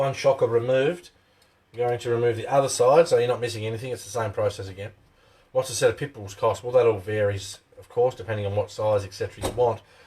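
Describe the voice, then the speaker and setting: A very fast, somewhat breathy man's voice with an Australian accent, medium pitch, ordinary pitch variation, big swings in loudness and a dark, mellow tone. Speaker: RC hobby channel host. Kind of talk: live stream tutorial. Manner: casual, chatty.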